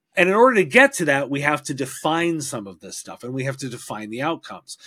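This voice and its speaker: A man talks at a fairly quick pace in a normal speaking voice. His pitch is fairly high, with ordinary variation. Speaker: podcaster and IT industry expert. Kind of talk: casual interview conversation. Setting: video call.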